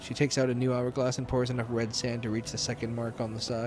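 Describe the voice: Plain reading aloud fills the recording.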